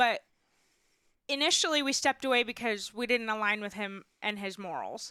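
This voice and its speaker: On a very clean recording with a silent background, a woman speaks at a moderate pace in a fairly high pitch, her tone bright and sharp and her pitch variation ordinary. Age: 20s. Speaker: former teacher and financial coach. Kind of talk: casual interview chat.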